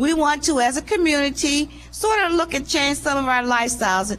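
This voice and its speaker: A woman with a high voice and lively intonation speaks at a moderate pace over noticeable background noise. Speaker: community center director. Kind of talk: speech at a public event. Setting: live event with audience.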